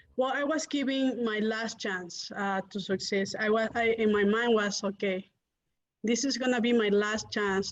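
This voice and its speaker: A woman talks in a medium pitch at a moderate pace, her intonation fairly even. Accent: non-native. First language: not English. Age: young. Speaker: real estate investor. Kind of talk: interview.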